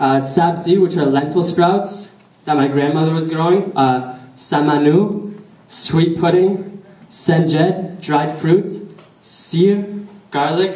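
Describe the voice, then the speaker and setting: Speaking very slowly in a high voice with a slight Persian accent, a man keeps fairly even intonation over noticeable background noise and audible room echo. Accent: weak Persian. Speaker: speaker at a religious community celebration. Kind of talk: prepared speech. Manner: halting.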